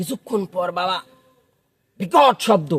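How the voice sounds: Slowly, a man talks in a high voice with lively intonation and a slightly husky edge.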